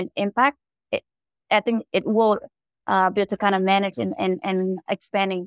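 A woman with a Vietnamese accent talks at a fairly quick pace with fairly even intonation, the sound dry and close with no echo. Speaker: angel investor. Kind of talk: panel discussion. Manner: halting.

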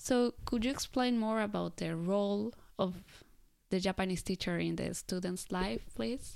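A woman with a Spanish accent and lively intonation at a moderate pace, on a very clean recording with a silent background. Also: medium pitch for a woman. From Colombia. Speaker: podcast host, former assistant language teacher. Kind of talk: interview.

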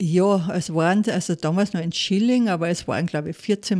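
A woman talks with a Salzburg accent at a moderate pace. Her medium pitch shows ordinary variation. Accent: Austrian German, Salzburg. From Austria, Salzburg region (Pinzgau). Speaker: former restaurateur, food entrepreneur. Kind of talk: personal testimony interview. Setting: studio.

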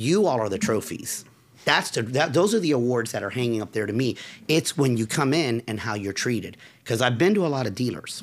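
Recorded very cleanly against a silent background, a man has an ordinary speaking voice at a medium pitch. He talks at a fairly quick pace with lively intonation. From central Florida, raised in Forest City/Altamonte. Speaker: business owner, motorcycle enthusiast. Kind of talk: casual interview chat. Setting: studio at motorcycle dealership.

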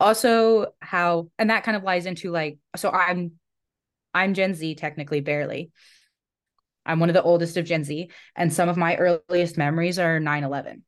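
This woman has a plain, everyday voice at a fairly low pitch, with fairly even intonation. She keeps a moderate pace over a quiet background. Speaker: recreation specialist, former camp director. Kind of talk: casual interview. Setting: remote recording.

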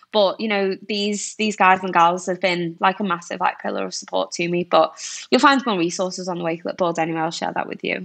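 With an ordinary speaking voice, a woman talks at a fairly quick pace and medium pitch, using ordinary pitch variation. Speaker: recruiter. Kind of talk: casual interview chat.

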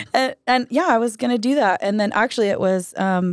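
A plain, everyday voice from a woman with an American accent, at a moderate pace with ordinary pitch variation, in a very clean recording with a silent background. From Idaho, US. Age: 20s. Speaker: singer-songwriter. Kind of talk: casual chat.

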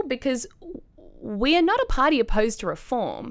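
A woman with an Australian accent at a moderate pace, on a very clean recording with a silent background. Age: 20s. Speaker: young political candidate and student. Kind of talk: podcast discussion.

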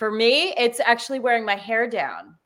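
Heard in a very clean recording with a silent background, a woman with an American accent speaks at a moderate pace and a fairly high pitch. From US Northeast, New Jersey. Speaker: confidence coach, former lawyer. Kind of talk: casual interview. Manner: animated.

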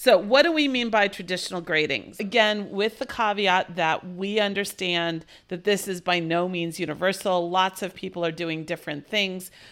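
Using an ordinary speaking voice, a woman talks at a moderate pace and medium pitch with ordinary pitch variation and hardly any pauses. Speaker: college math instructor and podcast co-host. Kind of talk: casual co-host conversation about grading.

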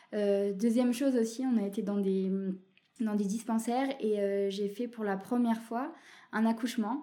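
Her tone dark and mellow, a woman talks at a moderate pace with fairly even intonation. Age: 20s. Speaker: dialysis nurse. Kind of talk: personal testimony. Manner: halting, many hesitations.

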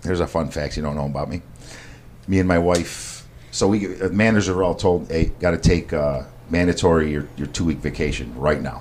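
Someone with an American accent talks at a fairly quick pace with ordinary pitch variation over noticeable background noise. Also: man, very deep, low pitch for a man. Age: 40s. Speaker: chef and meal prep business owner. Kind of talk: casual interview. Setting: studio, in person.

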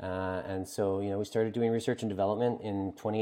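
In a Maritime Canadian accent, a man speaks at a fairly low pitch. His pace is fairly quick and his intonation flat and monotone. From Atlantic Canada. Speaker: brewery founder. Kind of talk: interview.

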